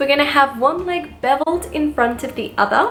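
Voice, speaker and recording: A woman's high-pitched voice with an Australian accent and very wide pitch swings at a moderate pace, music in the background. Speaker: pinup model and burlesque performer. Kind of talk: posing tutorial instruction.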